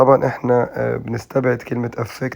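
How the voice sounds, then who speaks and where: Speaking in an Egyptian accent, a man with a medium pitch talks at a moderate pace in a monotone, flat intonation. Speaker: English teacher. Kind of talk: tutorial. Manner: halting with frequent fillers.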